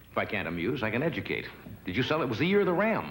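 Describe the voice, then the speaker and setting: Very wide pitch swings from a male speaker, with noticeable noise in the background. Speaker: talk show host. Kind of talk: comedy monologue. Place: stage.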